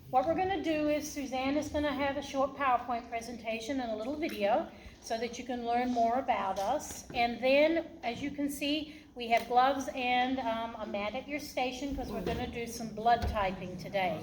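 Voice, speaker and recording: A woman's high-pitched voice with ordinary pitch variation, a moderate pace and audible room echo. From Australia. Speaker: hospital laboratory director. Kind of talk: presentation to students.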